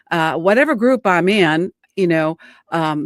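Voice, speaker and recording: A woman's normal speaking voice, fairly low in pitch with lively intonation, dry and close without echo on a very clean recording with a silent background. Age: 60s. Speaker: singer-songwriter. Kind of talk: casual chat.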